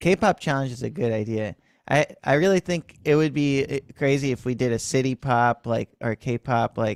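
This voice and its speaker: On a very clean recording with a silent background and a dry, close sound with no echo, a man has an ordinary speaking voice at a medium pitch, with ordinary pitch variation and a moderate pace. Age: 30s. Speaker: music teacher and livestream host. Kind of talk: casual chat. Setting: livestream.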